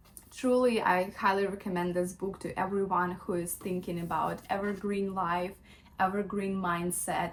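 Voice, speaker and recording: At a moderate pace, a woman with a non-native accent speaks at a medium pitch in a flat monotone. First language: not English. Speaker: lifestyle vlogger. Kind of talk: casual book review vlog. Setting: at home in bedroom. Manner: hesitant, many fillers.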